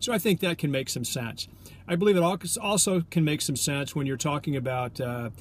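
The voice is somewhat breathy. The sound is dry with no echo, over light background noise. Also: man. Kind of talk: business tips vlog. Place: car. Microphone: phone near.

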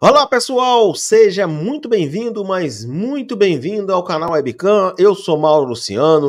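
A man speaks fairly slowly, his pitch swinging very widely. The background is quiet. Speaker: sports channel host. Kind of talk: football news commentary. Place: home room. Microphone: studio mic.

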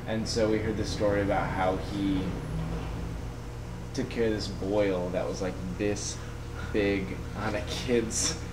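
A man at a fairly slow pace with long, frequent pauses under loud background noise. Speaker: traveling vlogger. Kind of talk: casual vlog chat. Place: home room. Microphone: webcam.

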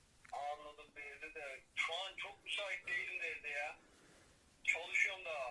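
The speaker is a man going at a fairly slow pace. Background noise is noticeable. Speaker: veterinarian. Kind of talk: phone conversation. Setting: phone line.

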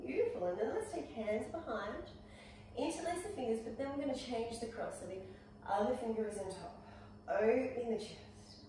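Over light background noise and strong room echo, a woman talks at a fairly quick pace with lively intonation. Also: fairly high pitch for a woman. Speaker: yoga instructor. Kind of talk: guided yoga class, calm instructional cueing. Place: home room. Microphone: camera far.

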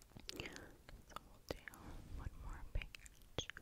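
A woman whispers at a very slow pace. She is soft-spoken. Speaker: ASMR creator. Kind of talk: soft reading aloud of a story. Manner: soft close whisper into mic. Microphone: studio mic.

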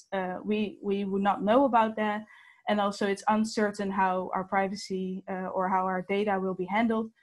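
Against a quiet background, a woman speaks in a monotone, flat intonation. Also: moderate pace. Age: 19. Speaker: student petition organiser. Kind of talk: webinar presentation. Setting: video call. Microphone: webcam.

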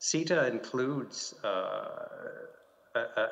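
Over a quiet background, a man speaks with a Canadian accent. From Canada. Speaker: diplomat; panelist. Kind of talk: panel discussion. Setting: video call from home. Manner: halting, many fillers and repeats. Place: office. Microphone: video call.

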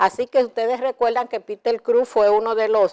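Against a quiet background, a woman is speaking. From Dominican Republic. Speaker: TV show host. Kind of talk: TV entertainment news. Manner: animated. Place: studio. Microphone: lapel.

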